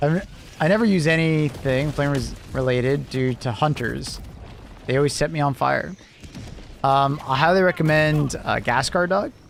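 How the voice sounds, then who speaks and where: Over noticeable background noise, a man with a fairly high pitch talks in an animated tone at a moderate pace, his loudness very even and his pitch varying in an ordinary way. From Canada. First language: not English. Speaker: gaming streamer. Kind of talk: live gameplay stream chat. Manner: halting, trails off mid-sentence; casual, animated.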